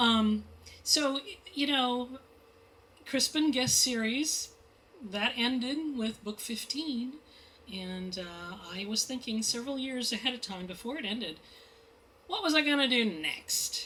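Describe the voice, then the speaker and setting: A woman speaks loudly with a high pitch and lively intonation at a fairly slow pace, leaving long, frequent pauses. Noticeable background noise runs underneath. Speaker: mystery novelist. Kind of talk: author talk at bookstore. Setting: bookstore event with audience. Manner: animated.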